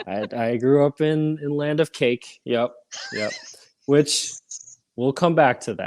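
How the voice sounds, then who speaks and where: Speaking with an American accent, a man uses a fairly high pitch and ordinary pitch variation. He goes at a very slow pace with long, frequent pauses, in a dry, close sound with no echo. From Minnesota, Edina (US Upper Midwest). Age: 30s. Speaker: podcast guest in recovery. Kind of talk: casual interview chat.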